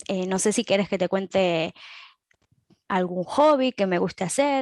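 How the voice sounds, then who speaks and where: A woman with an Argentine accent talks at a fairly slow pace and a medium pitch, her intonation lively. The sound is dry and close, with no echo. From Argentina, Balcarce. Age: 20s. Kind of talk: interview.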